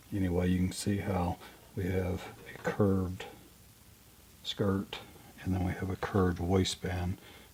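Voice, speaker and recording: A man's very deep, low voice in a monotone, flat delivery, with noticeable background noise. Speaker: sewist. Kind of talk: sewing tutorial. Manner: casual.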